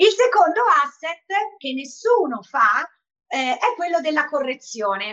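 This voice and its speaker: A woman talks at a moderate pace in a bright, sharp tone, her pitch swinging very widely. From Perugia, Italy (years in Sardinia). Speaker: online fitness trainer and entrepreneur. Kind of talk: interview conversation.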